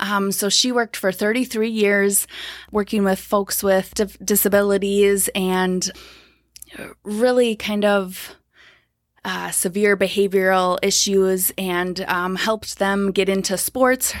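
In an Upper Midwest accent, a woman talks very slowly at a medium pitch with monotone, flat intonation, on a very clean recording with a silent background. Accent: Upper Midwest American. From Minnesota, Twin Cities. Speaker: counselor. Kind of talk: casual interview. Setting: studio, early morning.

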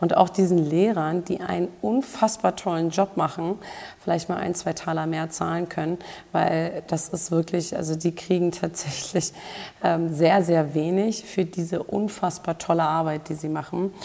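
Noticeable background noise sits behind a woman who speaks at a moderate pace, with a fairly low pitch and fairly even intonation. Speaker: health and performance coach, podcast host. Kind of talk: solo podcast monologue.

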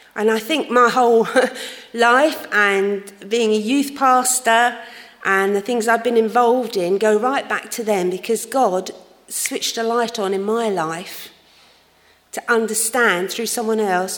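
Noticeable background noise surrounds a woman with a fairly high pitch. She speaks at a fairly slow pace with fairly even intonation. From London, England. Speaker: church youth leader. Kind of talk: testimony. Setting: church.

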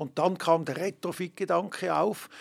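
Vocal fry runs through this man's speech at a moderate pace. The recording is very clean, with a silent background. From Switzerland, Emmen (canton Lucerne). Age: 60s. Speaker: ski resort director. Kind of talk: interview. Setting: studio.

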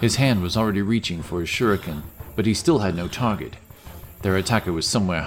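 The pitch moves in an ordinary way as someone reads aloud in a natural voice.

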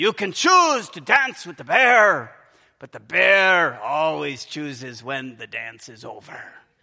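Speaking at a fairly slow pace, a man performs a put-on character voice. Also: fairly high pitch for a man.

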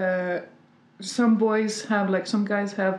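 A woman speaks very slowly at a medium pitch, keeping her intonation fairly even. Audible room echo surrounds her voice. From France, Paris. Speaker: comedian and screenwriter. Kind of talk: casual chat.

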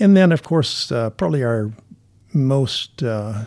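At a moderate pace, a dark, mellow voice with an American accent comes through a very clean recording over a silent background. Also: man. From Minnesota, US Midwest. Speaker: missions pastor. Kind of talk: interview conversation.

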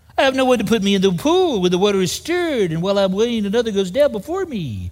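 A man talks at a very fast clip in a put-on character voice, pitched high and whiny, with a whiny tone throughout. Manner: whiny, mocking complaint.

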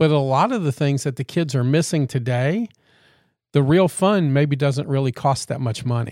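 A man with a Louisiana accent speaks at a moderate pace and a fairly high pitch. His pitch variation is ordinary, and the recording is very clean with a silent background. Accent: Louisiana Southern. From Louisiana, Baton Rouge area. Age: 50s. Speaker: podcast co-host. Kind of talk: casual chat.

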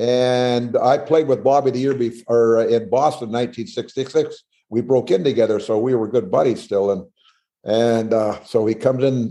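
A man speaks with a dark, mellow tone and fairly even intonation. The background is quiet. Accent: Canadian. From northern British Columbia, Canada. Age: 70s. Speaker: former pro hockey player. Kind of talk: casual interview chat, storytelling.

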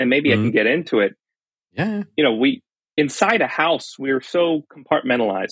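Lively intonation and a fairly quick pace mark this speaker with a Californian accent. The sound is dry and close, with no echo. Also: man. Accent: Californian American English. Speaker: fire engineering professor. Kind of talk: casual chat.

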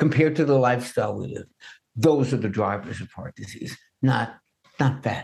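Music plays in the background as a man speaks. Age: 70s. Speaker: nutrition expert and author. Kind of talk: interview.

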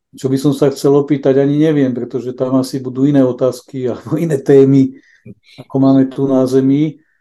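A man speaks at a medium pitch with monotone, flat intonation. His tone is dark and mellow. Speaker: innovation expert and charity volunteer. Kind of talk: interview about faith. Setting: remote digital link.

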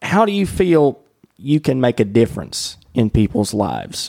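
Delivery moves at a moderate pace. It comes in a Southern US accent. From US South. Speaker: podcast host. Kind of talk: casual interview. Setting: in person at a coworking space.

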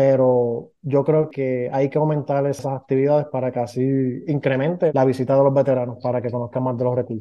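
In a Puerto Rican accent, a man of medium pitch talks at a fairly quick pace with hardly any pauses and fairly even intonation. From Puerto Rico, Ponce. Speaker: veterans podcast co-host. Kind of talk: casual podcast conversation.

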